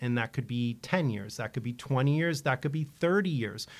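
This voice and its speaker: A man speaks with an unremarkable speaking voice and lively intonation. The recording is very clean, with a silent background. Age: 50s. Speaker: financial advisor, radio show host. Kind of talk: radio talk show, financial advice.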